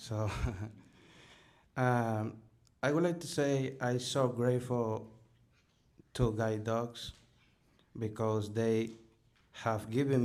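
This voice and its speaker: A man in a Spanish accent at a very slow pace, medium pitch and fairly even intonation, with audible room echo. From Dominican Republic. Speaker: guide dog program graduate. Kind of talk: thank-you speech.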